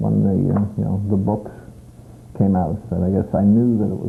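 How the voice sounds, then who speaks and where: Noticeable background noise sits behind a man's fairly low voice. He moves at a moderate pace with ordinary pitch variation. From Canada, Prince Edward Island. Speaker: interviewee, family reunion member. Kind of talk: interview.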